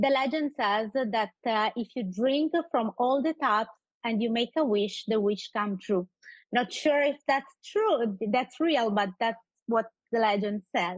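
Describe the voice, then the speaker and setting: A woman's fairly high-pitched voice at a fairly slow pace, with ordinary pitch variation and very even loudness, dry and close with no echo over a quiet background. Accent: strong Sicilian. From Sicily, Italy. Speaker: community group founder. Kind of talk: radio interview. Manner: halting, many fillers.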